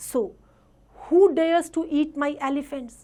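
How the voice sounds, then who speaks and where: Using a put-on character voice, a woman growls at a high pitch and a moderate pace. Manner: growling, menacing.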